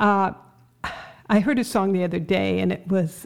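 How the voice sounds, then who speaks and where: Vocal fry marks this voice, which has an American accent and fairly even intonation. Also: woman. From Ohio.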